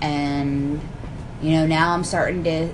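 Over noticeable background noise and audible room echo, a woman with an American accent speaks at a fairly slow pace in a fairly low pitch. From Philadelphia area. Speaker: college student. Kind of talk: casual chat.

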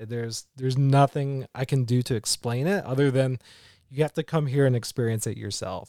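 A man speaks at medium pitch in an American accent, his tone dark and mellow. He keeps a moderate pace and fairly even intonation in a very clean recording with a silent background. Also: dry, close sound with no echo. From West Virginia (Charleston). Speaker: relocated remote worker. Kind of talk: casual interview. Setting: outdoors at a park.

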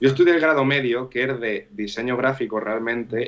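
Speaking with a La Mancha accent, a man talks fairly quickly at a medium pitch with ordinary pitch variation. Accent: Manchego Spanish. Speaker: DJ. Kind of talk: casual chat. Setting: live stream.

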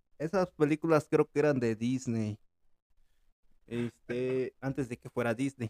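A man at a medium pitch and a fairly slow pace, in a dry, close sound with no echo. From Mexico. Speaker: podcast host. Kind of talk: casual chat.

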